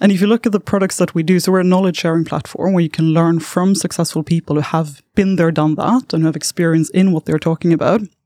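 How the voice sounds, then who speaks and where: A woman with a Swedish accent, very fast and with hardly any pauses, in a fairly low pitch and a dark, mellow tone, fairly even intonation and very even loudness, dry and close with no echo. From southern Sweden. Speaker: startup founder. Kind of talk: interview. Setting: studio.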